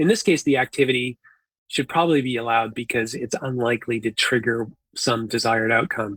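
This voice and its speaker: Here a man with a Canadian accent speaks at medium pitch and a fairly quick pace. His intonation stays fairly even, and the sound is dry and close with no echo. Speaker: conference presenter, environmental scientist. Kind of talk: conference presentation. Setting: conference talk. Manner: halting, with fillers and repetitions.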